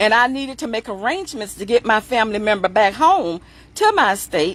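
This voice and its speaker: With a normal speaking voice, a woman talks at a fairly quick pace, her fairly high pitch carried by lively intonation. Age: 60s. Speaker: funeral plan sales representative. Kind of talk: sales pitch. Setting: livestream.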